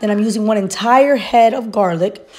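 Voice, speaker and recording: Noticeable background noise sits behind a woman speaking fairly quickly, her pitch fairly high, with ordinary pitch variation. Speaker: home cooking video creator. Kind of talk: cooking tutorial voiceover. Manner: casual.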